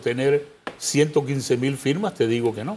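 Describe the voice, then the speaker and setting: An ordinary speaking voice from a man, fairly high in pitch, at a fairly slow pace. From Panama. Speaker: presidential pre-candidate and lawyer. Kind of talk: interview.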